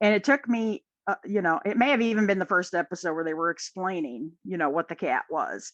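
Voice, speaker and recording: In a dry, close sound with no echo and a quiet background, a woman with a Midwestern accent speaks at a medium pitch and fairly quick pace, with lively intonation and hardly any pauses. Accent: Midwest. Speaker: podcast guest, fan. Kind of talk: casual chat.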